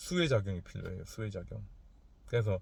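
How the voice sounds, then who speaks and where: A somewhat breathy man speaks at a fairly low pitch. The recording is very clean, with a silent background. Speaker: fortune teller. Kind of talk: casual lecture. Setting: in a car.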